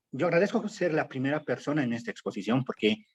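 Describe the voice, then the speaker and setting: Recorded with a dry, close sound and no echo, this man's fairly high voice makes very wide pitch swings. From Bolivia, El Alto / La Paz. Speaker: political activist and writer. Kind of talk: academic panel talk. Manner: hesitant, many fillers.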